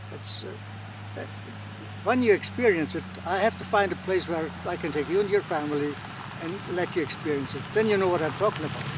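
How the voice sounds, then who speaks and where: A man speaks at a fairly high pitch and a fairly quick pace, his pitch swinging very widely. Noticeable background noise sits behind him. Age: 80s+. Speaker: rodel activist. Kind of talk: interview answer.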